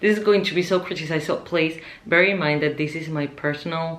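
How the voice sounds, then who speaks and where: With a Spanish accent, a woman speaks in a very deep, low pitch with ordinary pitch variation, and audible room echo surrounds her voice. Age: 20s. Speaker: vlogger. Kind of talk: casual vlog monologue.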